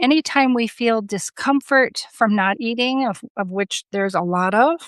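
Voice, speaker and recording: A woman with a normal speaking voice talks fairly slowly at a fairly high pitch with lively intonation, in a dry, close sound with no echo and a quiet background. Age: 60s. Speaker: coaching program client. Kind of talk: testimony.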